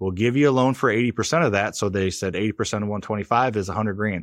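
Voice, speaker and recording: Against a quiet background, a man talks at a very fast pace. His pitch is fairly low, with ordinary pitch variation. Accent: American. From US Midwest (Missouri, near St. Louis). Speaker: real estate investor. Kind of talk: interview.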